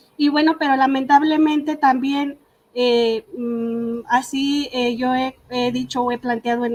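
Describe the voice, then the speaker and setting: A woman's high-pitched voice in a Michoacán accent, at a fairly slow pace. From Michoacán, Mexico (Purépecha community, Ahuirán). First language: Purépecha (speaking Spanish). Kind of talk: panel talk. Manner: halting, many fillers.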